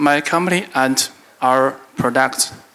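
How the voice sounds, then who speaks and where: A man speaks with a non-native accent. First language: Chinese. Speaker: business executive. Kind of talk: conference keynote. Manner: halting, reading from paper.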